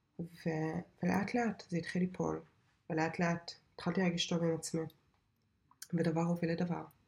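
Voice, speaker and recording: A woman's fairly low, somewhat breathy voice, flat and monotone, at a moderate pace with very even loudness and long, frequent pauses. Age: 30s. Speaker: podcast host and software developer. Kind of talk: casual monologue.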